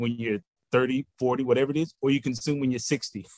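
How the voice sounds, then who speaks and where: A normal speaking voice with an American accent moves at a fairly quick pace with fairly even intonation. The sound is dry and close with no echo. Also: man. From Texas, Houston. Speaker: finance professor. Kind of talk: interview.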